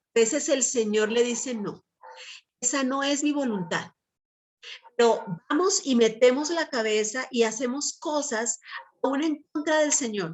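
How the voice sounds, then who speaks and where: In a Colombian accent, a woman speaks at a fairly slow pace with a high pitch and ordinary pitch variation. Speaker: Bible teacher. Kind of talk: sermon.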